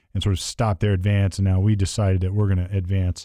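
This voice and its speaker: The tone is dark and mellow. The recording is very clean, with a silent background. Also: man. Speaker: podcast host. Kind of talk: casual chat. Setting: studio table. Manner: fast.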